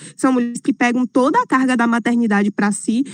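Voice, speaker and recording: A moderate pace and ordinary pitch variation, with a dry, close sound and no echo. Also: woman. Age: 20s. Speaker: city councillor and activist. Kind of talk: talk at an online event. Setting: online live stream.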